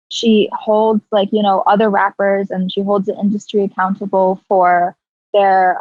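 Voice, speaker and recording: A woman's medium-pitched, monotone speech at a fairly slow pace with music in the background. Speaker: rapper. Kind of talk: casual chat. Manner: casual, many fillers.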